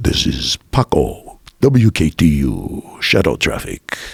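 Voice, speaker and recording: In a put-on character voice, a man talks at a fairly slow pace with fairly low pitch. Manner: announcer delivery.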